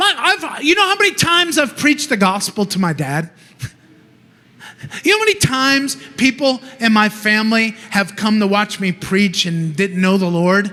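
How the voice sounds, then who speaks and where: A man's high, raised, projected voice at a moderate pace, with very wide pitch swings. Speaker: preacher. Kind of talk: sermon. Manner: loud, passionate.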